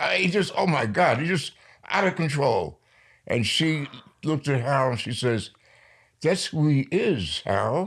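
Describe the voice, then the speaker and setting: Over a silent background in a very clean recording, a man with an American accent speaks at a fairly high pitch and moderate pace, with lively intonation, vocal fry, and long, frequent pauses. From New York. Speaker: poet. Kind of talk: interview.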